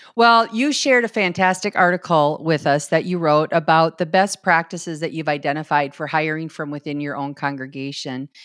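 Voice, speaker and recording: A woman with a Minnesotan accent speaks at a fairly quick pace with hardly any pauses, her very deep, low pitch showing ordinary variation, in a dry, close recording with no echo and a quiet background. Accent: Minnesota. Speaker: podcast host, church consultant. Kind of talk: interview.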